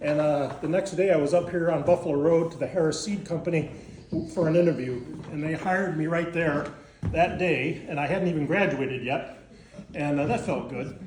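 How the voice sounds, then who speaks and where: A man with an upstate New York accent speaks at a fairly quick pace with fairly even intonation, and the room echo is audible. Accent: upstate New York American. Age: 70s. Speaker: gardening instructor. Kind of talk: class talk. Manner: halting.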